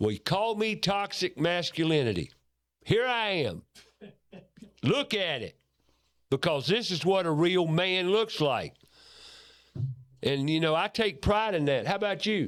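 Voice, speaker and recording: In an American accent, a man with a high pitch speaks at a fairly slow pace, with lively intonation and a passionate tone. Long, frequent pauses break up his speech. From United States. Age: 70s. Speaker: radio host. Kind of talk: radio talk show monologue. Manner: forceful, passionate.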